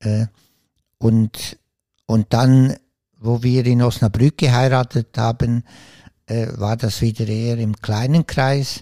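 A man's dark, mellow voice at medium pitch moves at a very slow pace with a monotone, flat intonation and long, frequent pauses. The sound is dry and close with no echo, in a very clean recording with a silent background. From Switzerland. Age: 60s. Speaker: author and former priest. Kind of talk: interview.

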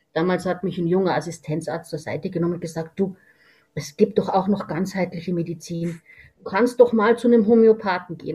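The speaker talks at a very fast pace in a somewhat breathy voice with ordinary pitch variation. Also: woman. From Lower Bavaria, Germany. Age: 60s. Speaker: veterinarian and homeopath. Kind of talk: interview.

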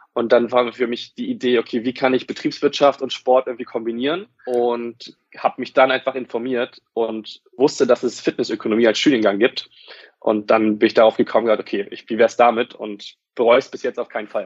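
The voice moves at a fairly quick pace with hardly any pauses, its intonation monotone and flat while its loudness swings widely. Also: man, medium pitch for a man. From northern Germany, Wolfsburg (Lower Saxony). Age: 20s. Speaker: fitness company area manager, university graduate. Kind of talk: podcast interview.

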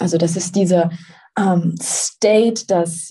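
The woman's voice has a dark, mellow tone and is somewhat breathy. She speaks at a very slow pace with ordinary pitch variation. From Swabia, southern Germany. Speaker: manifestation coach. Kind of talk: interview.

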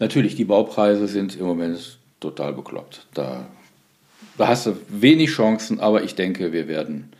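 A man's fairly low voice with a dark, mellow tone, vocal fry, and lively intonation. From Solingen, western Germany. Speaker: nonprofit foundation executive. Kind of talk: interview conversation.

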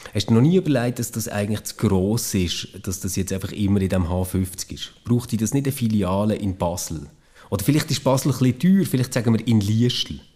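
Fairly low in pitch and somewhat breathy, a man's dark, mellow tone moves at a fairly quick pace. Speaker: former podcast co-host. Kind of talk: casual chat.

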